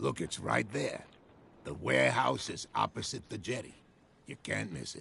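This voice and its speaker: Doing a put-on character voice, a man sounds raspy and calm at a very deep, low pitch and a moderate pace. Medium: video game. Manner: calm, direct.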